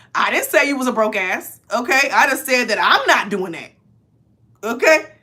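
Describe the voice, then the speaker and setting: Her voice raised and projected, a woman speaks at a high pitch with a bright, sharp tone and lively intonation. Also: moderate pace. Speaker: tarot reader. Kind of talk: tarot reading, casual. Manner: loud; animated.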